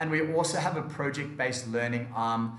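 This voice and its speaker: In an Australian accent, a man speaks at a moderate pace and medium pitch with fairly even intonation, and audible room echo surrounds him. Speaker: education company manager. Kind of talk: seminar presentation.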